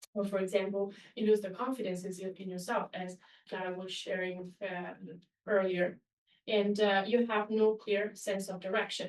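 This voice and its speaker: Her loudness swinging widely, a woman with an Italian accent speaks at a moderate pace and a medium pitch with monotone, flat intonation. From Italy. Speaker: webinar presenter. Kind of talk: online webinar presentation. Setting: webinar.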